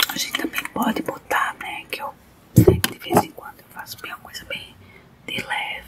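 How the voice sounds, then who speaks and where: A soft-spoken woman talks at a moderate pace. Loud background noise fills the recording. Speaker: makeup vlogger. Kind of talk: casual makeup tutorial. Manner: soft close ASMR murmur. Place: car. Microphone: phone near.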